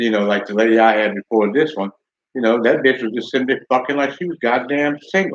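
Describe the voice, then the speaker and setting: In a plain, everyday voice, a man speaks at a medium pitch with ordinary pitch variation and a fairly quick pace, the sound dry and close with no echo. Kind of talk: casual talk to camera.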